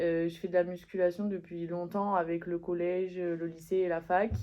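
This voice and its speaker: A woman talks at a moderate pace, her voice pitched fairly low. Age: 20s. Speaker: student athlete. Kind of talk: interview.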